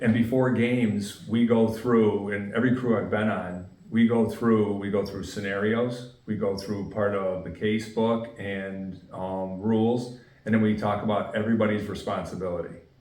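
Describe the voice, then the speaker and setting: With a northeastern Pennsylvania accent, a man of fairly low pitch talks with fairly even intonation and hardly any pauses, amid audible room echo. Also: moderate pace. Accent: Scranton. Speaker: football referee. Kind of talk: interview.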